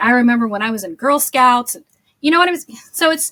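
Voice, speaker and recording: A loud woman with a high pitch chatters at a fairly quick pace in a bubbly, animated tone with lively intonation. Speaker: social media marketing agency owner. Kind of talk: podcast interview.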